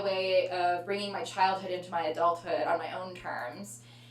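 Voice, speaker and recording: Noticeable background noise runs under this recording. The woman in it talks fairly quickly. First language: Tamil heritage speaker, English dominant. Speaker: artist and musician. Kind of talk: artist talk Q&A. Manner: hesitant, many fillers.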